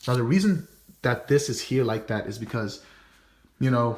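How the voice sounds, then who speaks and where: Somewhat breathy, a man talks at a medium pitch. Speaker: student. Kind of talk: class presentation. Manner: fast; casual.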